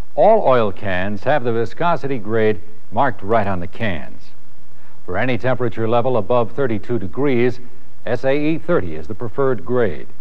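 With lively intonation, a man speaks at a moderate speed. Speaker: narrator of dealership training film. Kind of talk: 1980s corporate training film narration. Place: studio.

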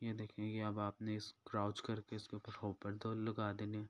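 Monotone and flat, a man speaks at a fairly low pitch for a man in a dry, close sound with no echo. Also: moderate pace.

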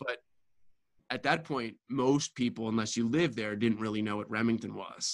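Very clean recording, silent background, a man with a plain, everyday voice at medium pitch and fairly even intonation. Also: moderate pace. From US, Baltimore. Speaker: real estate developer. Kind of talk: interview.

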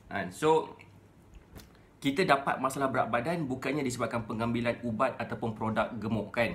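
With ordinary pitch variation, a man delivers his words at a moderate pace. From Malaysia. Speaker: weight-loss coach. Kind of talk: Facebook Live talk. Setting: live stream. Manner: casual, conversational. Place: home room. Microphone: phone near.

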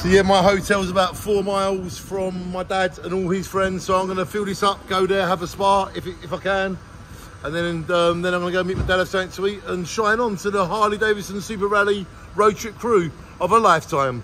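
A man with a high pitch and fairly even intonation talks at a fairly quick pace over light background noise. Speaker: travel vlogger. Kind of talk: casual vlog chat. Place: station. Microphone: phone near.

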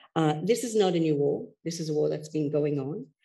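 A woman's very deep, low voice, dark and mellow with vocal fry, over a quiet background. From Canada. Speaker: gender and security expert. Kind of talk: panel discussion. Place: hall. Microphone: headset.

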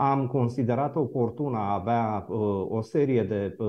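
Ordinary pitch variation in a man's speech. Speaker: moderator, lawyer. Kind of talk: formal introduction to a debate. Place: office.

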